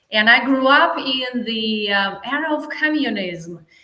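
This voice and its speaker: In a room with audible echo, a woman with a Russian accent speaks fairly slowly at a high pitch with ordinary pitch variation. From Russia, Saint Petersburg. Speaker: life coach. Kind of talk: interview.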